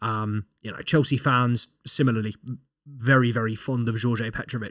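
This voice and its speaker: On a very clean recording with a silent background, a man speaks with a British accent, medium pitch and fairly even intonation. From Britain. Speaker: football podcast host. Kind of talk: casual commentary monologue. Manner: hesitant, many fillers and repeats.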